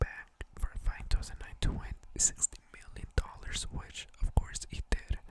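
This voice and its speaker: A man whispering. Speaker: ASMR video creator. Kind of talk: ASMR ramble on boxing facts. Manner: soft-spoken, whispered.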